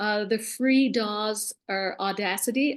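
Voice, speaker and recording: This woman has a normal speaking voice, fairly high in pitch, with fairly even intonation over a quiet background. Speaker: podcast host and former radio producer. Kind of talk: presentation in a webinar.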